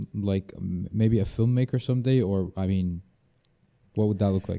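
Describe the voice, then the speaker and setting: A man's fairly low, dark and mellow voice with an Arabic accent and fairly even intonation. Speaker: podcast host. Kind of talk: casual interview chat. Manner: halting, filler-heavy.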